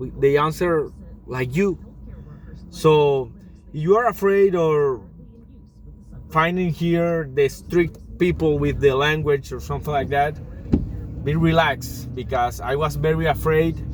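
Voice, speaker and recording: A man with a Spanish accent and a fairly high pitch, at a fairly slow pace with long, frequent pauses and ordinary pitch variation, over noticeable background noise. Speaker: job-seeking immigrant vlogger. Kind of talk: casual vlog monologue. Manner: halting.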